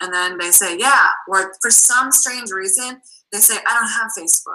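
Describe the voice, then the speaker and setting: A woman speaks in a Boston accent at a medium pitch. Her tone is animated. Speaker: network marketing coach. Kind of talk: video call interview.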